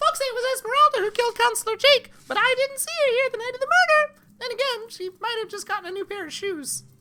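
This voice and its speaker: This put-on character voice is squeaky and extremely high, racing along at a very fast pace with hardly any pauses. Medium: game stream. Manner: squeaks between lines.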